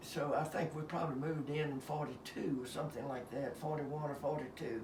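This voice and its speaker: A man with an Appalachian accent talks at a fairly high pitch with ordinary pitch variation. There is audible room echo and noticeable background noise. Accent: Southern Appalachian US. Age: 90s. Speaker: retired engineer. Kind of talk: casual chat. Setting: at home. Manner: halting.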